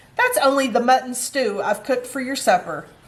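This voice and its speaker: A woman's high-pitched, put-on character voice at a fairly quick pace. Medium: read story.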